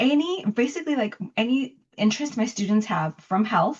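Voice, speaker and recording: With an American accent, a woman speaks in a somewhat breathy voice with lively intonation. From Los Angeles, Bell Gardens. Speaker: poet and professor. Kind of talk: interview.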